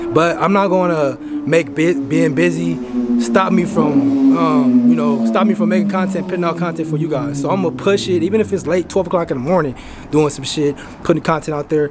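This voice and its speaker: Noticeable background noise under fairly quick speech. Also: man. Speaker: hair-care vlogger. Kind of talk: casual vlog chat. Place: home room. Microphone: phone near.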